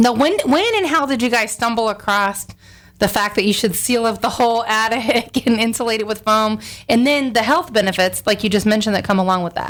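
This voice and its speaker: With ordinary pitch variation, a normal speaking voice moves fairly quickly. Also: woman, fairly high pitch for a woman. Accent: American. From Tampa, Florida. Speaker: radio host and realtor. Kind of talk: radio interview.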